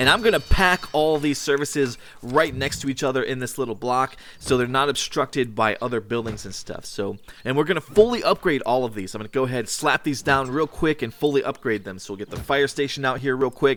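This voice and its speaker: Ordinary pitch variation marks a man's voice at a medium pitch. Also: fairly quick pace. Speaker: gaming youtuber. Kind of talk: let's play commentary. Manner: fast.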